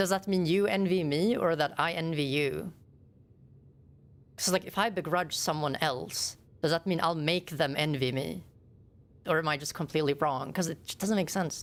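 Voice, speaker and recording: With a Swedish accent, the speaker moves at a moderate pace with ordinary pitch variation and long, frequent pauses on a very clean recording with a silent background. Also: woman, fairly low pitch for a woman. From Sweden. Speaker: game streamer. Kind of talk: casual chat. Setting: live stream with webcam.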